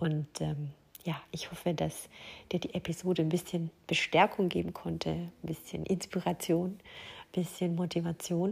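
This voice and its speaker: With a somewhat breathy, fairly low voice, a woman speaks fairly slowly in a monotone, flat intonation. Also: very clean recording, silent background. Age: 40s. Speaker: life coach and podcast host. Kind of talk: solo podcast monologue. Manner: hesitant, with frequent fillers.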